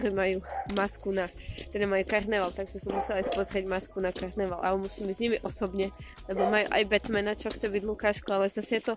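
A woman is speaking in a dry sound with no echo. Clear music plays in the background. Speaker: vlogger mother. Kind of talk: casual vlog chat. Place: street. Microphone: phone near.

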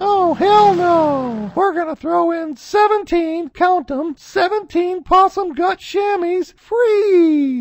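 In a cartoonish character voice, extremely high in pitch, a woman speaks very slowly with ordinary pitch variation, the sound dry and close with no echo. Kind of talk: comic infomercial pitch. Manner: excited, giddy.

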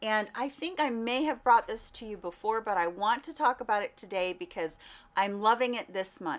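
This voice moves at a moderate pace with lively intonation. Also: woman. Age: 50s. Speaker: beauty content creator. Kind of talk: product review vlog. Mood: warm, upbeat. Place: home room.

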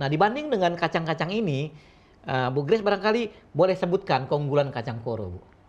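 Fairly high for a man, this male voice moves at a very fast pace. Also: lively intonation. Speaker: TV show host. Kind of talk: live talk show hosting. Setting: studio. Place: studio.

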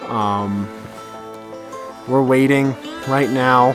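Against clear background music, a man speaks very slowly with ordinary pitch variation in a dry sound with no echo. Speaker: astrophotography vlogger. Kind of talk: casual vlog chat. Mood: excited, relaxed. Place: open country. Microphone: phone near.

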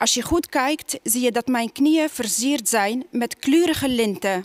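Against a quiet background, a woman talks at a very slow pace and a high pitch. Her intonation is lively, and the sound is dry with no echo. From Tunisia. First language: Arabic (speaking Dutch). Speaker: poet. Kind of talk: poetry reading. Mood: calm, measured. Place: stage. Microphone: headset.

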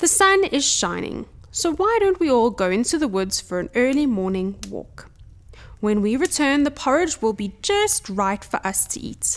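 A woman's gruff, high-pitched put-on character voice with very wide pitch swings, at a moderate pace

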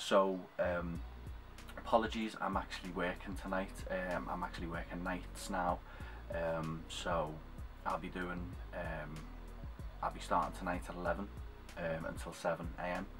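Over clear background music, a man with a very deep, low voice speaks at a fairly slow pace, taking long, frequent pauses, with ordinary pitch variation. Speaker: cosplayer vlogger. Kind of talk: casual vlog chat. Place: home room. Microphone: webcam.

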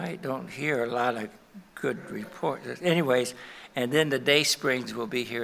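Bright and sharp in tone, this voice carries vocal fry, ordinary pitch variation and a moderate pace. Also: man. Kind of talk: church announcements and prayer. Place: church.

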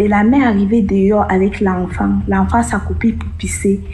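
A woman speaks at a moderate pace while noticeable background noise plays behind her. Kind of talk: testimony.

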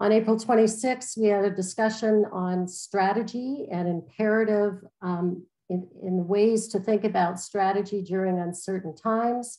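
A woman talks at a fairly slow pace with fairly even intonation. The background is quiet. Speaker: host moderator. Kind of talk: event host introduction. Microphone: video call.

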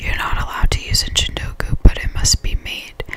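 A soft-spoken woman whispering at a moderate pace over light background noise. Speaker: content creator. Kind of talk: reading aloud, ASMR-style. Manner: soft close-mic whisper, reading aloud. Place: home room. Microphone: studio mic.

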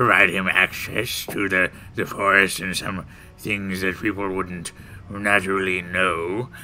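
A man puts on a character voice, very deep and low, delivered in a flat monotone at a fairly slow pace. Clear background noise runs behind him. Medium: actual play. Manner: cranky, dismissive, eccentric.

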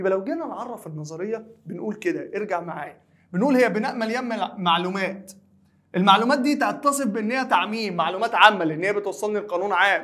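A man with a Cairo accent, fairly quick and lively in intonation, against a quiet background. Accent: Egyptian Arabic (Cairene). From Egypt. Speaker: high school teacher. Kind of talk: lecture. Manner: conversational, asks and answers own questions. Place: studio.

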